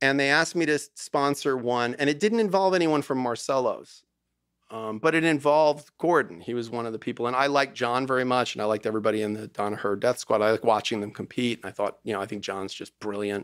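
Against a quiet background, a man talks very fast with lively intonation, the sound dry with no echo. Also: medium pitch for a man. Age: 50s. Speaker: divorce lawyer. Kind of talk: casual chat. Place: studio. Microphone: studio mic.

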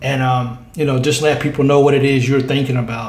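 The man's voice is somewhat breathy and flat in intonation. Room echo is audible. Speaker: sports fan channel host. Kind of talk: casual vlog chat. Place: home room. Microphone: phone near.

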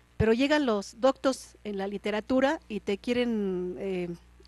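A woman with a normal speaking voice and a fairly high pitch talks with ordinary pitch variation, the sound dry with no echo. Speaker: TV program host. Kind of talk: interview. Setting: studio. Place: studio. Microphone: handheld.

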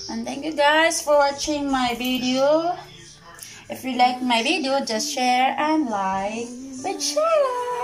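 A woman talks at a very slow pace, her pitch high and its variation ordinary. Clear music plays in the background. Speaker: home vlogger. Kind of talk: casual vlog chat. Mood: cheerful, playful. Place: home room. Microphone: phone near.

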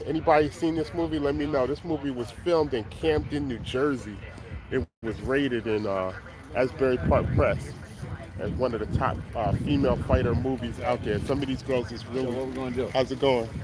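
Over loud background noise, a man speaks in an upbeat tone at a fairly quick pace, with a dry sound and no echo. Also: ordinary pitch variation. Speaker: flea market seller and rapper. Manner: loud, hyped, upbeat hustler patter with slang, repeated catchphrases; casual, rambling, conversational, self-promoting. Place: market. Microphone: phone near.

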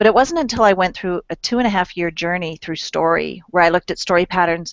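A woman at a very fast pace with ordinary pitch variation, a dry sound with no echo and a quiet background. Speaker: guest. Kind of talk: interview answer. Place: office. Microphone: headset.

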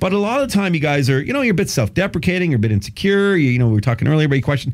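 Over a quiet background, a man with a fairly high pitch sounds animated and somewhat breathy, his pitch swinging very widely. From Canada. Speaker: radio host. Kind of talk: casual chat. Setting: radio studio. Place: studio. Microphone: studio mic.

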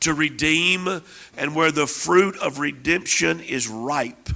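Fairly high for a man, this voice has a bright, sharp tone and fairly even intonation. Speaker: minister praying over guest; guest. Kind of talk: prophetic prayer. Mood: fervent, earnest. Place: church. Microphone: handheld.

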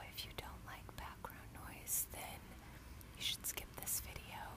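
A woman amid loud background noise. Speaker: ASMR creator. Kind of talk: ASMR personal attention. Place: home room. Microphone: earbuds.

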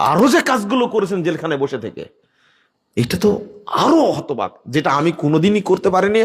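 In an animated tone, a high-voiced man speaks with very wide pitch swings. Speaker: Islamic preacher. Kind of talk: sermon.

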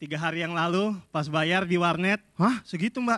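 The voice has a bright, sharp tone over a quiet background. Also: man. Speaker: film director and workshop instructor. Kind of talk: workshop lecture. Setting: stage with audience. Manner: humorous. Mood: humorous, relaxed. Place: hall. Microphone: handheld.

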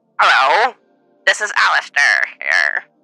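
Delivered at a moderate pace, a put-on character voice plays over faint music in the background.

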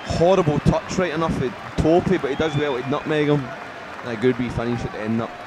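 Over crowd noise in the background, a man talks at a fairly quick pace with ordinary pitch variation. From Scotland. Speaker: football player trying commentary. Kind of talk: football match commentary, playful. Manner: jokey, banter. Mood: jokey, amused. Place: meeting room.

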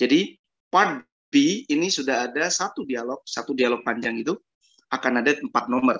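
A moderate pace, lively intonation and a quiet background. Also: man. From Indonesia. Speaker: English test tutor. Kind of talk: online class. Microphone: video call.

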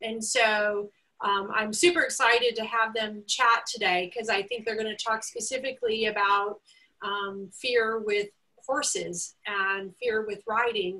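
The voice belongs to a woman. She reads at a fairly slow pace with fairly even intonation. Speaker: webinar host. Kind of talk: host introduction. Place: home room. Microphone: video call.

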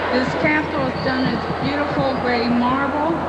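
A woman talks at a fairly slow pace. Loud noise fills the background. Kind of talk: tour narration reading plaques. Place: hall. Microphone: old recording.

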